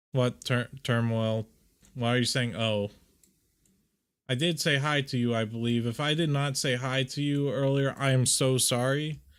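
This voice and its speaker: A man speaks with fairly even intonation and very even loudness. The recording is very clean, with a silent background. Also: medium pitch for a man. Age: 20s. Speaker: VTuber streamer. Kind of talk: casual livestream chat while editing art. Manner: slow.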